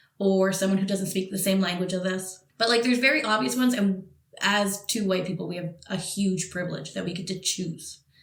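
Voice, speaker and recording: Audible room echo surrounds a woman speaking in a Montreal accent. Her pitch is medium with ordinary variation, and her pace is fairly quick. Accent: Canadian English (Montreal). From Montreal, Quebec, Canada. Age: young. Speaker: podcast co-host. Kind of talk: casual chat.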